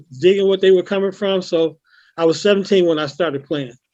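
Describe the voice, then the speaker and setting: Speaking with an American accent, a man keeps a fairly quick pace and high pitch, his intonation fairly even. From Chicago, US Midwest. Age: 60s. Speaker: musician. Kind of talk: casual interview. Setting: video call.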